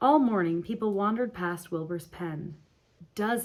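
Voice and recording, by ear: Here someone reads aloud in a natural voice. Pitch varies in an ordinary way.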